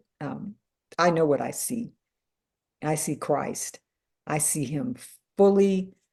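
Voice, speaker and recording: The voice is somewhat breathy, with lively intonation. The background is quiet. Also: woman. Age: 60s. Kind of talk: testimony. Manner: animated.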